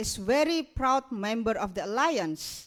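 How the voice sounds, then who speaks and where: A woman with an Indonesian accent, fairly slow pace and very wide pitch swings. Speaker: migrants rights activist. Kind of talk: keynote speech. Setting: stage with audience.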